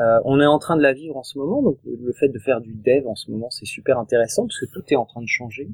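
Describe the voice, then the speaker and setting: A man's medium-pitched voice at a very fast pace with hardly any pauses, big swings in loudness, ordinary pitch variation, and a dry, close sound with no echo. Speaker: tech evangelist team lead. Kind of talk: casual tech interview.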